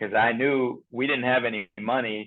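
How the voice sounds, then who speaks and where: A man speaks with fairly even intonation, keeping a moderate pace. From Iran, then California. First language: Persian. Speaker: chiropractor. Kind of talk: interview. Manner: halting.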